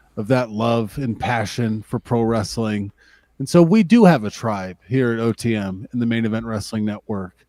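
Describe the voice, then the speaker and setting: Someone with an American accent talks at a moderate pace in a normal speaking voice. The recording is very clean with a silent background, dry and close with no echo. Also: man. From Lake Tahoe area, US West. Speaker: wrestling podcast co-host. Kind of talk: casual chat; show outro.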